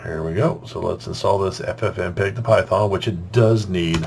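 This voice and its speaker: A man's speech shows ordinary pitch variation against noticeable background noise. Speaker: software tutorial maker. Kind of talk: screen-recorded tech tutorial narration. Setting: separately recorded voiceover. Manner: casual.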